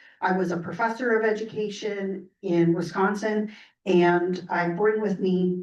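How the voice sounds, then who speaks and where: Woman at medium pitch, fairly even intonation, audible room echo. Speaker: education technology director and former professor. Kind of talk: presentation at a board meeting. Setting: board meeting room with microphone. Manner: hesitant, many fillers.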